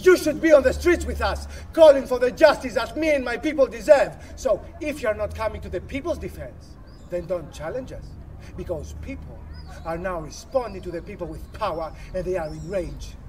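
Over noticeable background noise, the speaker takes an angry tone at a fairly quick pace. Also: man. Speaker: actor performing monologue. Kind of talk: rally speech. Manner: forceful, defiant; emphatic, repetitive, angry. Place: open country.

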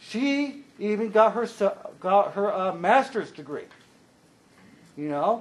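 A man speaks loudly in a high voice, with lively intonation. His pace is very slow, with long, frequent pauses. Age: 40s. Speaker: consumer advisory committee liaison. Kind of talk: public meeting report.

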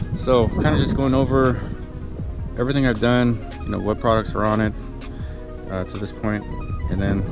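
A man's voice comes through dry with no echo while clear music plays behind it. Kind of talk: casual vlog walkaround. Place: street. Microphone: phone near.

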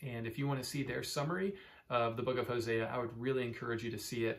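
The man's pitch moves with ordinary variation. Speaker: church pastor. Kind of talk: bible study teaching talk. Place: office. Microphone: phone near.

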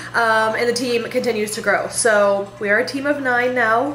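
The recording has audible room echo and light background noise. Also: woman. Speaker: fitness coach vlogger. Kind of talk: casual vlog chat. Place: home room. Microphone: phone near.

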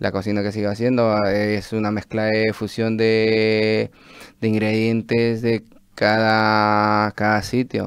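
A man speaks in a fairly low voice with monotone, flat intonation, recorded dry with no echo against a quiet background. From Peru. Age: 30s. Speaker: chef and restaurant owner; interview guest. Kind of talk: radio interview. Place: studio. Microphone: studio mic.

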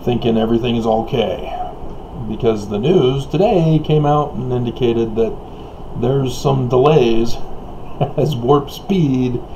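A man is talking, with light background noise behind him. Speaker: vlogger. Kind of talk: casual vlog chat. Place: home room. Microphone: webcam.

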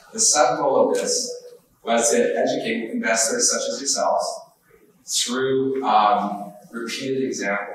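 Talking fairly slowly, a man is heard with audible echo from the room. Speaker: trend-following trader. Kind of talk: conference workshop presentation. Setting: live event with audience, live-streamed.

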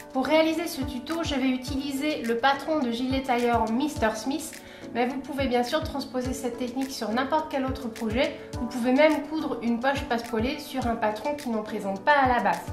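A woman talks at a moderate pace in a high voice. Her intonation is fairly even, and music plays clearly behind her. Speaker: sewing tutorial host. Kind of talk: tutorial. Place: home room.

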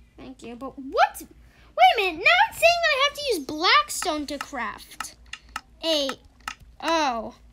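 Through noticeable background noise, a woman projects a raised voice at an extremely high pitch and very slow pace, with very wide pitch swings and big swings in loudness. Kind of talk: casual gaming chat.

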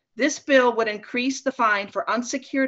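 An ordinary speaking voice from a woman with an American accent, a fairly high pitch and ordinary pitch variation, over a quiet background. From US Midwest. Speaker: city council member. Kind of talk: council report. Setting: video call. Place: home room. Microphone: video call.

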